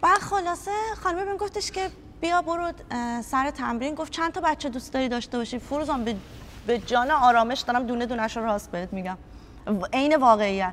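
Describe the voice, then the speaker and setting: This woman talks at a very fast pace in an animated tone. Her high-pitched voice makes very wide pitch swings. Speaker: youth football coach. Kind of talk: interview.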